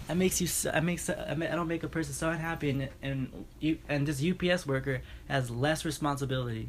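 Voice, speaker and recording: Talking at a very fast pace with hardly any pauses, a man with an American accent keeps a fairly high pitch and fairly even intonation. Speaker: podcast host. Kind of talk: casual chat. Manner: monotone; halting.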